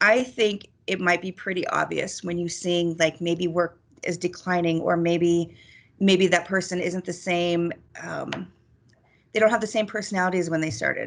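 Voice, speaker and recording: A woman's normal speaking voice, fairly low in pitch, at a moderate pace over a quiet background. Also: fairly even intonation. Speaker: crisis counselor. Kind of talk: presentation.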